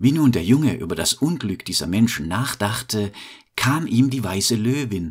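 A man talks in a normal speaking voice with a fairly low pitch. His intonation is lively. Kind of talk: bedtime story telling. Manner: slow, calm, soothing storyteller pace; gentle, warm, fairy-tale narration.

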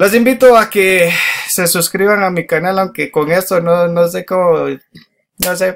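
In a high pitch, a man speaks at a fairly slow pace with long, frequent pauses. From Guatemala. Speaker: YouTuber. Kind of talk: casual video commentary. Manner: hesitant, many fillers. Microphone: webcam.

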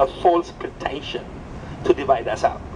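Speaking at a moderate pace with an Ethiopian accent, a man is heard over light background noise. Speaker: coffee entrepreneur and community organizer. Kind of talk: impassioned outdoor rally speech denouncing exploitation of coffee farmers. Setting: outdoors at a rally with crowd. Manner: fervent, moralizing, building to indignant repetition; halting, with frequent restarts and repeated words. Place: street.

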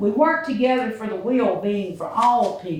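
Fairly slow speech in a Mississippi accent, with noticeable background noise. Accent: Mississippi Southern. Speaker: resident speaking at public meeting. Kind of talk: public comment speech. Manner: loud.

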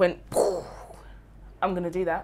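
A woman rattles along at a very fast pace, with light background noise behind her. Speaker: spoken word poet. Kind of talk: interview answer. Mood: warm, reflective, animated. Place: home room.

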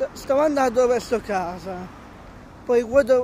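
The man's voice is extremely high, the sound dry with no echo, over light background noise. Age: 20s. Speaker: vlogger. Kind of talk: casual vlog; casual vlog chat. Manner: halting, many repetitions. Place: street. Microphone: phone near.

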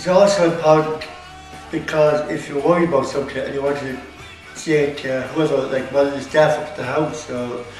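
A man's fairly high, monotone voice with audible room echo and faint music in the background. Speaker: student. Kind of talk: interview answer. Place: classroom. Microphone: camera far.

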